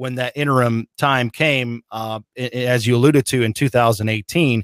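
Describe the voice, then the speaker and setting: Heard in a very clean recording with a silent background and a dry, close sound with no echo, an ordinary speaking voice moves at a moderate pace with ordinary pitch variation. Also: man. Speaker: radio play-by-play voice of a football team. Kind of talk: interview answer about his career.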